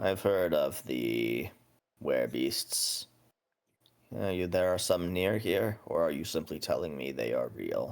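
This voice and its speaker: A man puts on a raspy character voice with a very deep, low pitch. He speaks at a fairly slow pace. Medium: actual play.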